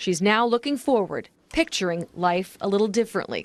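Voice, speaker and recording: This is a woman speaking. She has a plain, everyday voice. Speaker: TV news reporter. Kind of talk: TV news report.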